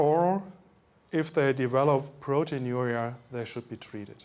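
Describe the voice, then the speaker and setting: A fairly high-pitched man with a German accent at a fairly slow pace, ordinary pitch variation, on a very clean recording with a silent background. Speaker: medical doctor. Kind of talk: lecture.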